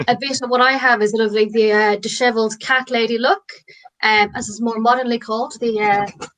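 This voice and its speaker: This woman speaks in an Irish accent at a fairly quick pace. Her voice sits fairly high, with fairly even intonation. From Ireland, rural. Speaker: comedian. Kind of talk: stand-up.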